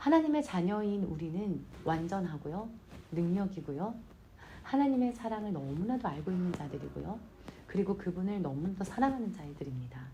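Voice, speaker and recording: A woman's somewhat breathy voice, dark and mellow in tone, with very wide pitch swings and audible room echo. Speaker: church minister. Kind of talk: devotional talk.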